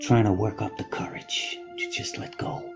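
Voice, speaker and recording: A man's voice over music in the background. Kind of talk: personal anecdote storytelling. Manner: casual, conversational.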